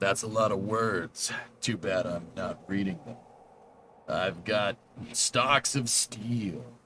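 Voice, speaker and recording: A man puts on a raspy character voice, fairly low in pitch. He moves at a very slow pace with ordinary pitch variation. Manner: swaggering, macho.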